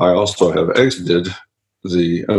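A man speaks with a Southern US accent. He talks at a fairly slow pace. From Louisiana. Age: 40s. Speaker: business coach. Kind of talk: interview.

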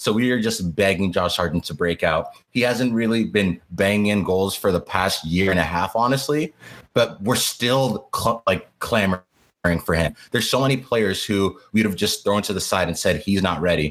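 A man with an ordinary speaking voice, fairly low pitch, moderate pace and ordinary pitch variation. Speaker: university student and soccer podcast co-host. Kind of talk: casual podcast chat.

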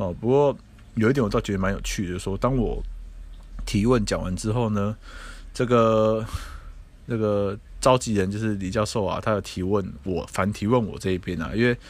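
Fairly quick delivery with ordinary pitch variation and long, frequent pauses. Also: man, fairly low pitch for a man. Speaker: podcast host and harm-reduction advocate. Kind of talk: solo podcast commentary.

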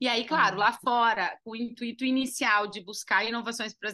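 The tone is bright and sharp, at a fairly quick pace. The background is quiet. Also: woman. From Uruguaiana, interior of Rio Grande do Sul, Brazil (Argentine border). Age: 30s. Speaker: entrepreneur, business co-founder. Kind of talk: interview.

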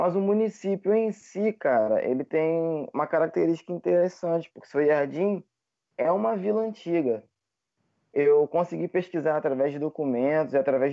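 At a moderate pace, a man is talking. His is an ordinary speaking voice. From Rio de Janeiro state interior, Brazil. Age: 20s. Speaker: English teacher and history graduate. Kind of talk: casual interview.

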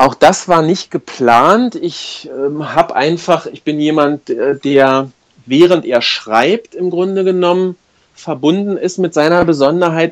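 Very slowly, a man speaks in a high pitch with ordinary pitch variation. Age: 40s. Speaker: life coach. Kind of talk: interview. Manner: hesitant, many filler sounds.

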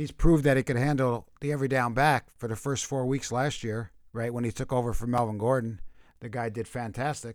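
In a very clean recording with a silent background, a man with a plain, everyday voice speaks at a fairly quick pace, medium in pitch and fairly even in intonation. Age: 50s. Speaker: fantasy football podcast co-host. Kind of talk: casual chat. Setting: live stream.

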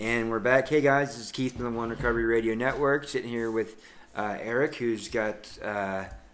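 A man talks at a fairly quick pace and a medium pitch. He has an unremarkable speaking voice. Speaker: radio host. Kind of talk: casual radio chat.

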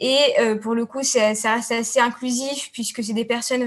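She speaks at a fairly slow pace. The woman's voice is fairly high in pitch with monotone, flat intonation. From Tunisia. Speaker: student. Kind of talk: panel discussion.

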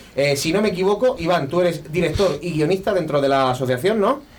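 A man at a moderate pace with ordinary pitch variation, plus audible room echo and noticeable background noise. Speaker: radio host. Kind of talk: casual chat. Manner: animated.

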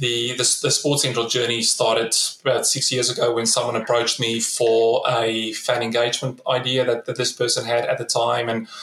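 With a South African accent, the speaker talks at a moderate pace in a flat monotone, hardly pausing, over noticeable background noise. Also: man, medium pitch for a man. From South Africa, Free State (Bloemfontein). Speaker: startup founder and CEO, former pro rugby player. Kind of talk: interview. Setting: remote call. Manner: repeats words often.

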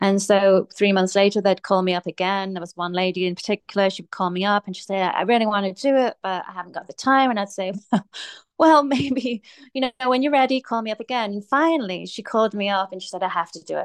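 A woman with an English accent speaks at a very fast pace with ordinary pitch variation and big swings in loudness, in a dry, close sound with no echo and a quiet background. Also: medium pitch for a woman. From England. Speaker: fitness coach and personal trainer. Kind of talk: casual interview chat.

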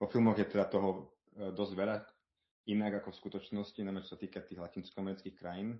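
Very fast, monotone speech from a man with a fairly low pitch, flat in intonation but with big swings in loudness. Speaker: world traveller. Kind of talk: interview. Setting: remote call. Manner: hesitant, many fillers.

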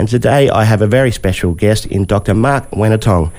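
A man's fairly low voice comes through despite noticeable background noise. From Western New South Wales, Australia. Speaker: podcast host, journalist. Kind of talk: interview.

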